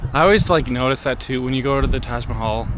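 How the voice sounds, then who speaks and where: Clearly audible background noise surrounds the speaker, a man. His voice carries an audible room echo. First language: not German speaker. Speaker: travel vlogger. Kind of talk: travel vlog narration. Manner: casual, filler-heavy.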